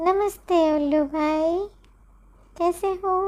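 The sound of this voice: This is a cartoonish character voice that sounds female. Its pitch is extremely high.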